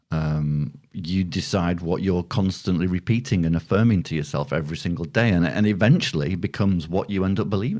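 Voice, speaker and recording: A man's very deep, low voice in a northern English accent, fairly quick with hardly any pauses and ordinary pitch variation. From northern England. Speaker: podcast co-host. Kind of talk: casual chat.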